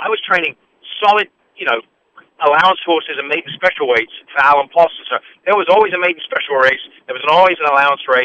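A man with an English accent talks at a very fast pace but with long, frequent pauses. His pitch is high, with ordinary pitch variation. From England. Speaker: horse racing analyst and former trainer. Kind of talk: radio interview.

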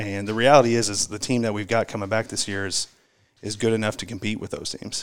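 A man with an American accent talks very fast at a fairly low pitch. His intonation is monotone and flat. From Indiana, Indianapolis area. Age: 30s. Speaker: high school basketball coach. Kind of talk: casual interview.

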